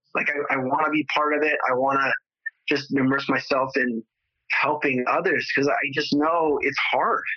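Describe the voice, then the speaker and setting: A man's fairly high voice in a Californian accent, flat and monotone, at a moderate pace with very even loudness. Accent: Californian American. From Southern California, San Fernando Valley. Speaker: entrepreneur with spinal cord injury. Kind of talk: interview conversation. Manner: repetitive, halting with fillers.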